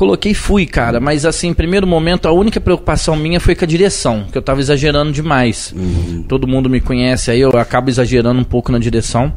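Noticeable background noise surrounds a man talking very fast with hardly any pauses. His fairly high voice has lively intonation and very even loudness. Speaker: city councillor and civil firefighter. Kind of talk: casual interview. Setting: live podcast studio.

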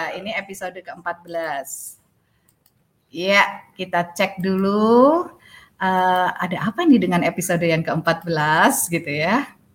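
Her pitch is medium and varies in the ordinary way. This woman talks at a very slow pace. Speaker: podcast host. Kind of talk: casual chat. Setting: outdoors. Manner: animated.

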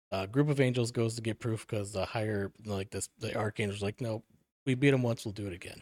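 Using an ordinary speaking voice with an American accent, a man of medium pitch speaks at a fairly quick pace with fairly even intonation, in a very clean recording with a silent background and a dry, close sound with no echo. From Milwaukee, Wisconsin, US Midwest. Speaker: author. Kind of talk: casual chat.

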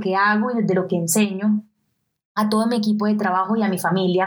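A woman speaks with a Colombian coastal accent. Her medium-pitched voice keeps fairly even intonation. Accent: Colombian coastal (costeño). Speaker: podcast host, digital nomad entrepreneur. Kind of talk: motivational solo podcast.

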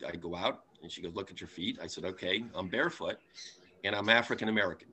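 Here a man speaks in an ordinary speaking voice at a fairly low pitch. He keeps a fairly quick pace. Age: 60s. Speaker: table tipping medium, bereaved father. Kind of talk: casual interview storytelling.

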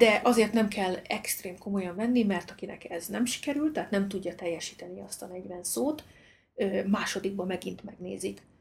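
Speaking at a moderate pace with an unremarkable speaking voice, a woman at medium pitch shows ordinary pitch variation and big swings in loudness. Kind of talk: casual conversation.

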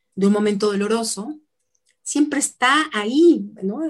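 Her pitch medium with ordinary variation, a woman speaks at a very slow pace. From Mexico, Tlaxcala. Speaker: ontological coach. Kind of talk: interview. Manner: halting.

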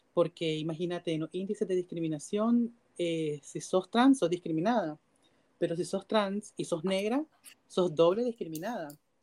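In a Nicaraguan accent, this voice has a dark, mellow tone, moving at a moderate pace with ordinary pitch variation. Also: woman, fairly low pitch for a woman. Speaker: LGBTQ rights activist. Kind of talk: interview.

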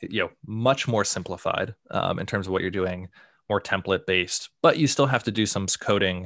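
Against a quiet background, a man with a fairly low pitch and a normal speaking voice talks at a moderate pace with ordinary pitch variation. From US, Boston area. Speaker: tech writer. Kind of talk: casual interview.

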